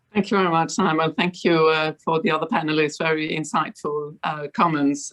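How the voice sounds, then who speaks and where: A woman with a Danish accent speaks in a very deep, low pitch over a quiet background. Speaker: fund board director. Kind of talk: panel discussion.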